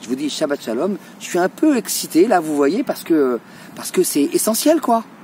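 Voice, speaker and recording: A man speaks with a high pitch and very wide swings in it. Noticeable background noise runs underneath. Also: moderate pace. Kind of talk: religious talk to camera. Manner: animated.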